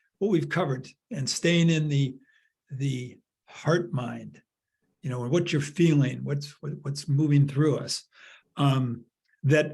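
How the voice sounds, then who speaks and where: A somewhat breathy, fairly high male voice with an American accent, fairly slow and fairly even, with long, frequent pauses. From Chicago, US Midwest. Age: 70s. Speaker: workshop facilitator. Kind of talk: group discussion facilitation. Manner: halting, many repetitions.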